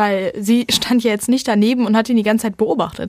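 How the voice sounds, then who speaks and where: With ordinary pitch variation, the voice moves along at a fairly quick pace. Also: woman. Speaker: podcast host. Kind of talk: true-crime narration. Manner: vivid storytelling, animated, wry.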